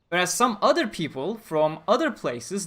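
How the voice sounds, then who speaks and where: Over a silent background on a very clean recording, a man speaks at a moderate pace with very wide pitch swings. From Turkey. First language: Turkish. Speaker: gaming streamer. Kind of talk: livestream chat. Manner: casual, rambling.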